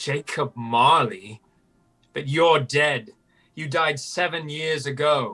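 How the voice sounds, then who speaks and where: Putting on a character voice, the man talks very slowly in a fairly high pitch. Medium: stage.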